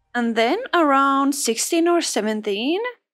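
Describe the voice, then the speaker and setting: A woman's high voice at a fairly slow pace, swinging very widely in pitch. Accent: Finnish. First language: Finnish. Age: 30s. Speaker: cleaning vlogger. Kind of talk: personal story with sponsored ad. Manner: animated.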